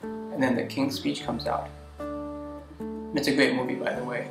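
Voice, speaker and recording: Noticeable background noise sits behind a man talking at a moderate pace. His medium-pitched voice swings very widely in pitch. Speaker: video blogger. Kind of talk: casual talk to camera. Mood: earnest, reflective. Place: home room.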